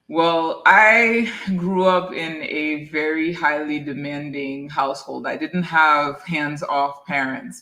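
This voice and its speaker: A woman speaks in a very deep, low voice with a French accent. Her tone is bright and sharp. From Haiti. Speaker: dentist. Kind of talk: interview.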